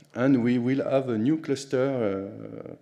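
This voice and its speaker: A man talks at a very slow pace in a French accent. His tone is dark and mellow. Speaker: conference speaker, HPC sysadmin. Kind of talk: conference talk. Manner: halting, many fillers.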